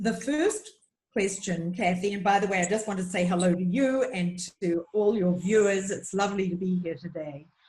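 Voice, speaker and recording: A woman's somewhat breathy voice in a New Zealand accent at a moderate pace. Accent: New Zealand, charming. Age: 70s. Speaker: nutritionist. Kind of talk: interview.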